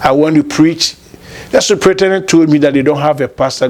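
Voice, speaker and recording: Man's voice at a fairly quick pace with fairly even intonation, against noticeable background noise. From Ghana, Kumasi. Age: 50s. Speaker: lawyer and former pastor. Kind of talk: interview, life story.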